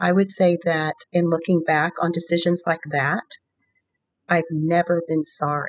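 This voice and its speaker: A woman with an American accent speaks at a moderate pace in a fairly low voice, recorded with a dry, close sound and no echo. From US, Virginia. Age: 60s. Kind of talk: interview about faith and prayer.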